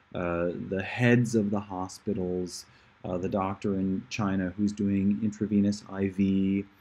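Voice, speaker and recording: Soft-spoken over a quiet background, a man with a fairly low pitch and a dark, mellow tone talks at a fairly slow pace in monotone, flat intonation. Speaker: livestreamer giving a report. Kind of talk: casual live stream monologue. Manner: soft-spoken, keeping voice down; hesitant, many fillers.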